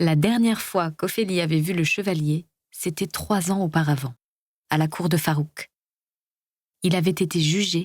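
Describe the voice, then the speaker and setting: A somewhat breathy woman with a fairly low voice speaks at a fairly slow pace with ordinary pitch variation, in a dry, close recording with no echo. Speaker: voice actor. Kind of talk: audiobook reading.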